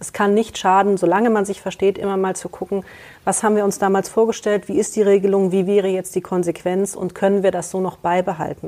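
Fairly quick in pace, the speech carries a dark, mellow tone. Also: woman. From Germany, Kassel. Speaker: lawyer and notary. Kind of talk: expert interview.

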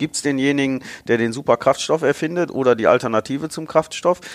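Delivered at a very fast pace with ordinary pitch variation, the voice sounds dry and close with no echo. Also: man. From Ruhr area, Germany (Bottrop). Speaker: automotive marketing director. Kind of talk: interview.

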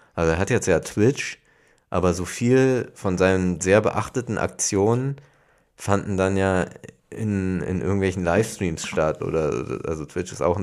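A man's voice sits very deep and low in pitch as he talks at a moderate pace. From Hamburg. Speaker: podcast co-host. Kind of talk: casual chat.

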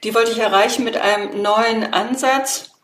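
Audible room echo follows a woman who speaks at a fairly slow pace with a fairly high pitch. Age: 50s. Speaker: political scientist and association founder. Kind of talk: interview.

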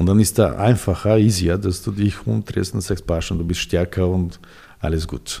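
The man's voice is very deep and low, with a dark, mellow tone and a somewhat breathy quality. He moves at a moderate pace with ordinary pitch variation. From Serbia, Belgrade. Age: 40s. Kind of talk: interview. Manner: halting.

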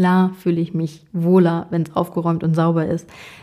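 A woman speaks at a moderate pace in a fairly low, somewhat breathy voice with a dark, mellow tone. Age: 30s. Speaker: podcast host and coach. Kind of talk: solo monologue.

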